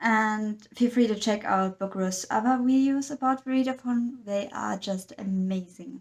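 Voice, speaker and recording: In a very clean recording with a silent background, a woman with a non-native accent speaks somewhat breathily at a moderate pace, her fairly high pitch showing ordinary pitch variation. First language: not English. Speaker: book vlogger. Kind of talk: casual monologue.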